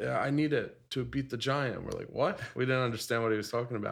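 The man has a normal speaking voice and an American accent at a medium pitch. He talks at a fairly quick pace with fairly even intonation. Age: 30s. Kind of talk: casual chat.

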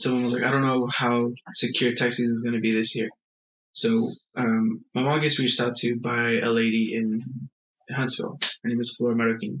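A man's monotone, flat delivery at a fairly quick pace. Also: medium pitch for a man. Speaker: life insurance advisor. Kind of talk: casual interview.

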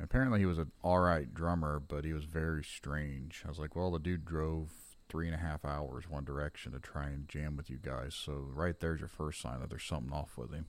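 His voice is very deep and low. The man talks fairly quickly with fairly even intonation. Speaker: podcast host and metal musician. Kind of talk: casual chat.

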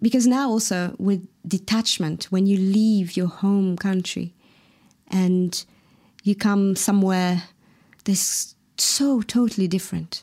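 Very slow and fairly even in intonation, this voice carries a dark, mellow tone and a Mauritian accent. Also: woman. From Mauritius. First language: Mauritian Creole. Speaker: singer-songwriter. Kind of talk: interview. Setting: video call.

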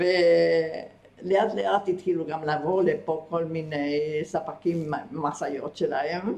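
Against noticeable background noise, a woman with a fairly low voice speaks at a very slow pace, with ordinary pitch variation and hardly any pauses. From Argentina. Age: 80s+. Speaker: retired kibbutz member. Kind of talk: interview about life story.

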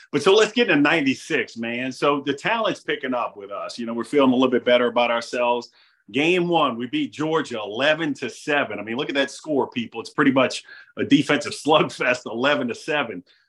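A man with an American accent talks at a moderate pace in a plain, everyday voice. His pitch is fairly high, with ordinary pitch variation. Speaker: podcast host. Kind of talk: casual interview.

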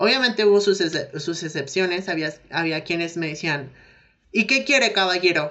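With a Mexican accent, a woman speaks at a fairly low pitch and a moderate pace, her intonation lively. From Mexico. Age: 20s. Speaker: physiotherapy student. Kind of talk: interview. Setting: remote call.

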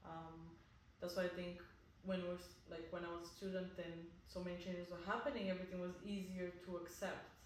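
A woman speaks at a fairly quick pace with a fairly low pitch and monotone, flat intonation. Noticeable background noise is present. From Bulgaria. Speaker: marketing manager. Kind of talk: casual interview chat.

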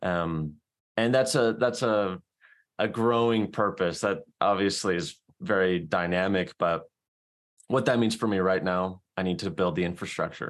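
A man with an American accent, a plain, everyday voice, at a fairly low pitch with ordinary pitch variation and a fairly slow pace, in a very clean recording with a silent background. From South Carolina. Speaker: podcast host and book club organizer. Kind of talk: casual chat.

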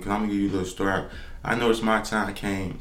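Audible room echo surrounds a man's fairly low voice. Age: 20s. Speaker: podcast host. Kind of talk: solo podcast monologue. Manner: casual, halting.

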